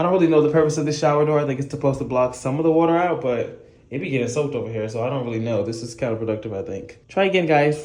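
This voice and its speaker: At a very fast pace, a man with a fairly high voice talks with ordinary pitch variation while background noise stays noticeable. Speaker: vlogger and touring musical theatre performer. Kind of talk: casual vlog. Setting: hotel room. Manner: casual and chatty.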